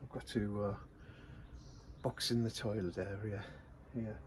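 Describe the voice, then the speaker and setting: A man speaks quietly, his voice somewhat breathy. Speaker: van conversion vlogger. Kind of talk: casual DIY vlog.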